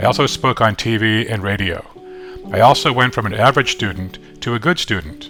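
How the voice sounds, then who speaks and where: Music plays behind the speaker. He is a man with a fairly low pitch. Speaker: classroom teacher. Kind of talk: personal story narration.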